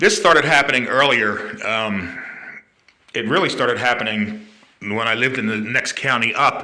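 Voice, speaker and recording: Audible room echo colors the voice of a man speaking at a moderate pace with medium pitch and ordinary pitch variation. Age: 60s. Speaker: vlogger sharing health experience. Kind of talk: personal testimony. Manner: hesitant, many fillers.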